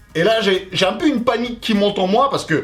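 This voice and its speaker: A man talks in a high pitch. Music plays in the background. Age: 30s. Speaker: YouTuber. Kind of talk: personal vlog storytelling. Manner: loud; fast.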